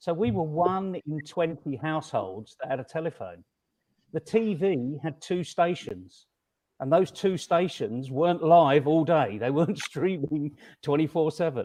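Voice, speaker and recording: A man speaks at a fairly slow pace with a fairly high pitch, ordinary pitch variation and a dark, mellow tone against a quiet background. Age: 60s. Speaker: conference panelist. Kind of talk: panel discussion.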